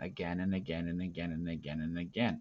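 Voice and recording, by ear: Delivered at a moderate pace, the speech keeps fairly even intonation. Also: man.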